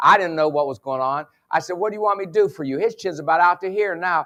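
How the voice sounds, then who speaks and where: A man with an American accent talks fairly quickly. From West Virginia. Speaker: sports psychologist and motivational speaker. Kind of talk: conference keynote with humor. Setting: stage with audience. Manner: animated.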